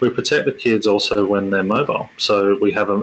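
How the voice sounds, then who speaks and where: A man talks with an Australian accent. Noticeable background noise is heard behind him. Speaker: tech company executive presenter. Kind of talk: webinar presentation. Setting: online webinar. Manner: halting, many fillers and repetitions.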